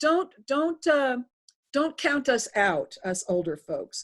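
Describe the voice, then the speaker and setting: Speaking fairly slowly, a woman talks in an American accent. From US Northeast. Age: 60s. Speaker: political candidate. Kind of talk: interview. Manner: hesitant.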